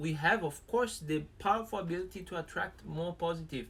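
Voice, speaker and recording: A man with a Brazilian accent, high in pitch, with ordinary pitch variation. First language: Portuguese. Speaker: live stream co-host. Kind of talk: casual live stream chat. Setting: live stream.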